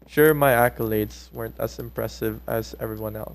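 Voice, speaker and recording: Moderate-speed speech from a man. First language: not English; a non-English mother tongue. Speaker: gaming commentary youtuber. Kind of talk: casual storytelling commentary. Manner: animated, conversational.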